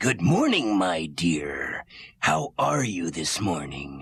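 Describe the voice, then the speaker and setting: A man uses a raspy put-on character voice with a very deep, low pitch at a very slow pace. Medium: audio drama. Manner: smooth, flattering.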